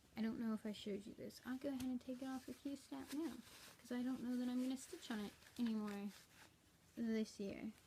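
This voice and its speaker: Soft-spoken and high-pitched, a woman talks with ordinary pitch variation. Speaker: cross-stitch vlogger. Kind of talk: casual chat. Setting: at home. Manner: rambling.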